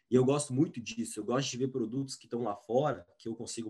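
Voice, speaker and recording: With an unremarkable speaking voice, a man talks at a fairly quick pace and medium pitch with fairly even intonation over a quiet background. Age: 20s. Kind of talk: interview.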